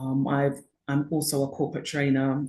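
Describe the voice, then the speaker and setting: A woman's dark, mellow tone with a British accent, at a moderate pace against a quiet background. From UK. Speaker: author and educational consultant. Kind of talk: interview. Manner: hesitant, many fillers.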